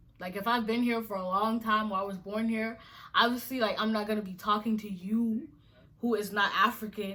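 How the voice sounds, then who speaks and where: Fairly quick, animated delivery with a bright, sharp tone. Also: woman. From Nigeria, moved to US at nine. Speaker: YouTuber. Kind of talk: casual vlog monologue.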